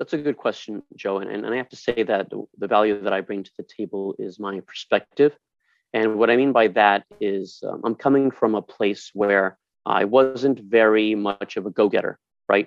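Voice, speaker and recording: In a plain, everyday voice, a man speaks at a fairly low pitch with fairly even intonation and a moderate pace. His loudness swings widely. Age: 40s. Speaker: nonprofit board vice president. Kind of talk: casual interview.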